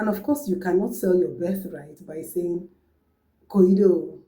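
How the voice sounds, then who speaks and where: A dark, mellow, somewhat breathy female voice. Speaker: language teacher. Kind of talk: tutorial.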